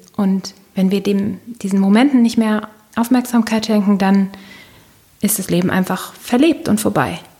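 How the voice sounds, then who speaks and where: Over noticeable background noise, a woman of medium pitch and ordinary pitch variation speaks at a moderate pace with long, frequent pauses. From northern Germany, Baltic coast. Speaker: corporate communications worker and coach. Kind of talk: interview.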